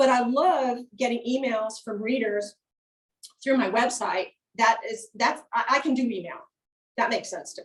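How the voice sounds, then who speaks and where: Using an American accent, a woman with a high-pitched voice and ordinary pitch variation speaks at a moderate pace, with big swings in loudness and long, frequent pauses. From rural upstate New York. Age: 60s. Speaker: author. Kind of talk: author talk. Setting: event with live and Zoom audience.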